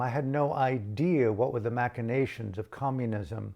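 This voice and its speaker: A man with a General American accent talks at a moderate pace in medium pitch, in a normal speaking voice. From United States. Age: 60s. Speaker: meditation teacher. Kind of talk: reflective spoken talk. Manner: contemplative, pausing.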